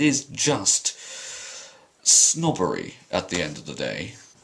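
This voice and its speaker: Through noticeable background noise, a man's pitch swings very widely. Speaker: drama student. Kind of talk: vlog rant. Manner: articulate, clear.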